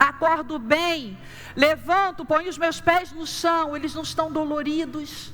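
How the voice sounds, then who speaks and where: With audible room echo and noticeable background noise, a woman talks at a moderate pace. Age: 60s. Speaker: pastor. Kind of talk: sermon.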